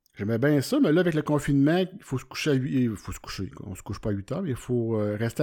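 With a Quebec accent, a man talks at a very fast pace and medium pitch, hardly pausing at all. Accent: Québécois French. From Quebec, Centre-du-Québec (Warwick). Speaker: podcast host, amateur photographer. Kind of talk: solo podcast monologue. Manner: casual, hesitant with many fillers.

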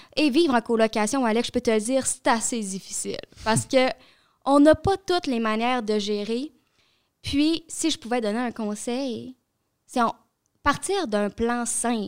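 Speaking at a fairly slow pace, a woman with a high voice leaves long, frequent pauses and uses ordinary pitch variation. The sound is dry and close, with no echo. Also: very clean recording, silent background. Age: young. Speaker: youth environmental advocate. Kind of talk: casual chat.

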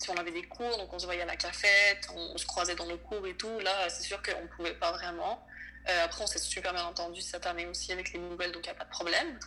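A woman talks at a fairly quick pace. Noticeable noise is present in the background. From Venezuela. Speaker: college volleyball player. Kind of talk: casual interview. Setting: late-night recording.

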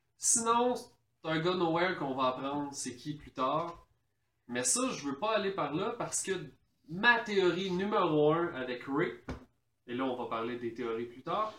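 Audible room echo surrounds a man with a fairly high pitch. He speaks at a fairly slow pace with very wide pitch swings. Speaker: podcast co-host. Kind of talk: casual chat.

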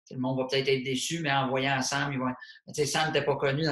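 The speech comes at a very fast pace in a monotone, flat intonation, with noticeable background noise. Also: man. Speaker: comedian and podcast host. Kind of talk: casual chat. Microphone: poor sound quality.

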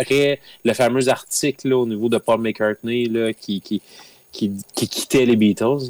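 A man's plain, everyday voice at medium pitch, fairly even in intonation and fairly slow, with a dry, close sound and no echo. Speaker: podcast guest, music fan. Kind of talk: casual chat.

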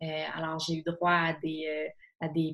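The speaker talks at a fairly slow pace in a Quebec accent. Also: woman. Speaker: author and columnist. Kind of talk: casual interview about films.

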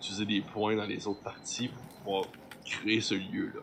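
Noticeable background noise is present throughout. A man speaks very slowly over it. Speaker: game master of a role-playing show. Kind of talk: tabletop role-play narration.

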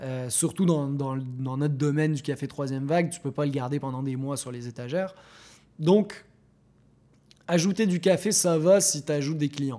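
A man with a fairly high pitch and a dark, mellow tone speaks with long, frequent pauses and big swings in loudness, in a very clean recording with a silent background. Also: ordinary pitch variation, moderate pace. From Morocco. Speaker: coffee shop co-owner. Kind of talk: interview. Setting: in the shop.

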